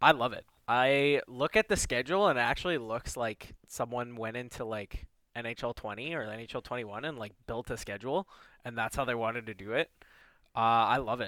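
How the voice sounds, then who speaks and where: A man with an Ontario accent speaks at a fairly quick pace in a bright, sharp tone. The sound is dry and close with no echo, on a very clean recording with a silent background. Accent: Canadian (Ontario). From Toronto, Canada (Rexdale). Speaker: hockey podcast co-host. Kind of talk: casual chat.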